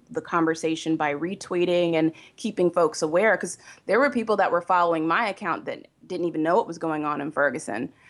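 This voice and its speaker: A woman talks in a plain, everyday voice, pitched fairly low, with ordinary pitch variation. The background is quiet. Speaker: website founder and blogger. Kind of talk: casual interview.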